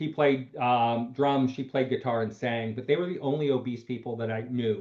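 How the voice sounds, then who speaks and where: This man has a normal speaking voice, a medium pitch, fairly even intonation and a moderate pace. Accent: American. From Pennsylvania, US. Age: 60s. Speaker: doctor, show host. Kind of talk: panel discussion.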